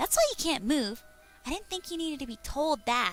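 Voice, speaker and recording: A woman's put-on character voice, high in pitch and at a fairly quick pace, with faint music in the background. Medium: read story. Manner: giggly, bubbly.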